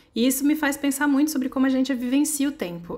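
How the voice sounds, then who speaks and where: A woman with a high pitch, at a fairly quick pace. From Brasília, Brazil. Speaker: amigurumi crochet designer. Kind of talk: personal reflective narration with product promo. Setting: at home.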